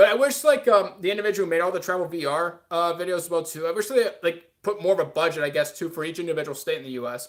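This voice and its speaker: Hardly pausing at all, a man with a high pitch talks at a very fast pace with lively intonation. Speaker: streamer. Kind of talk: casual livestream chat. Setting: livestream. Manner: filler-heavy, uh pauses.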